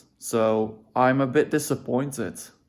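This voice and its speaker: This very clean recording, with a silent background, captures a speaker with a non-native accent. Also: man. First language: not English. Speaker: vlogger. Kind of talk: personal vlog monologue. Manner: halting, self-correcting; casual.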